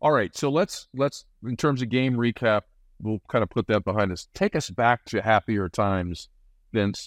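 An ordinary speaking voice with an American accent moves at a moderate pace with ordinary pitch variation, recorded dry and close with no echo over a quiet background. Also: man. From Nebraska. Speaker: podcast host. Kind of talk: casual chat.

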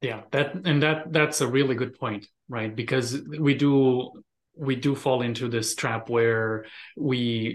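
A man with a Romanian accent, fairly even intonation and a fairly slow pace. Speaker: immigrant mindset coach. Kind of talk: interview conversation.

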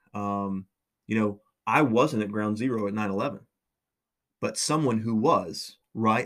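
Medium pitch from a man, captured on a very clean recording against a silent background. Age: 30s. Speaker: university lecturer. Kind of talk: lecture. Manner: hesitant, many fillers.

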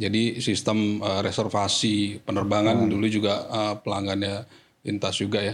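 A man speaks in a fairly low pitch at a fairly quick pace. His intonation is monotone and flat. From Jakarta, Indonesia. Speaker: corporate IT manager. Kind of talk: podcast interview.

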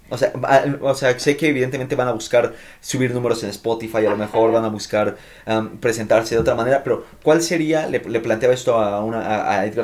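Over noticeable background noise, a man speaks fairly quickly in a medium pitch with ordinary pitch variation. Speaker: podcast host. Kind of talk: casual chat.

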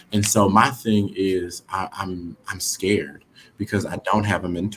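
A man with an American accent, an ordinary speaking voice and fairly low pitch. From Houston, Texas. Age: 30s. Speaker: real estate investor and aspiring realtor. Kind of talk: casual interview.

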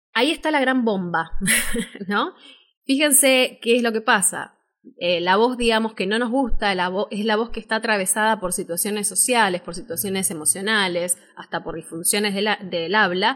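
Speaking with an Argentine accent at a moderate pace, a woman uses a fairly high pitch and ordinary pitch variation in a very clean recording with a silent background. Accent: Rioplatense Argentine Spanish. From Argentina, Buenos Aires. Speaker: voice-over artist and speaking teacher. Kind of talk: live-stream workshop talk. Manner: animated.

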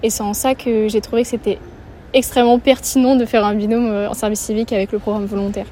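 Against noticeable background noise, a woman talks fairly quickly in a flat monotone. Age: 20s. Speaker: civic service volunteer. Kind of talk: interview. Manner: hesitant, many fillers.

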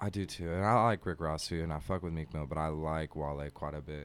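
A man with an American accent at a moderate pace, ordinary pitch variation, on a very clean recording with a silent background. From Portland, Oregon. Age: 20s. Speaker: musician. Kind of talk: casual chat.

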